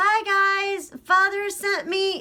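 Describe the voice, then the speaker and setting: Using a put-on character voice, a woman speaks in an extremely high, squeaky pitch with monotone, flat intonation. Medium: read story. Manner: cheerful, chatty.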